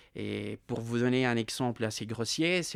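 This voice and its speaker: A man with a Russian accent speaks at a medium pitch on a very clean recording with a silent background. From Ukraine. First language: Russian (speaking French). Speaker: war witness, former school worker. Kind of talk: testimony interview. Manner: hesitant, many fillers and repetitions.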